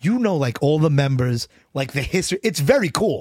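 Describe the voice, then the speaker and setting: Lively in intonation, a man talks at a fairly quick pace and fairly high pitch on a very clean recording with a silent background. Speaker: music podcast co-host. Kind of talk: casual chat. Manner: halting.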